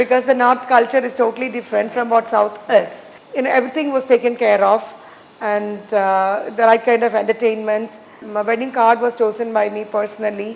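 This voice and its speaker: A woman speaks at a fairly high pitch in a monotone, flat intonation. Noticeable background noise runs behind her. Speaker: entrepreneur. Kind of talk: interview. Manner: halting, many fillers.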